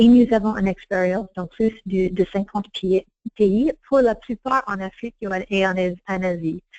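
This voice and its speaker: A woman speaks at a medium pitch and a fairly slow pace. The sound is dry and close with no echo, and her pitch variation is ordinary. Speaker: strategy consultant, firm founder. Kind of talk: webinar presentation. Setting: online webinar. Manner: halting, many repeated words and restarts; partly reading aloud.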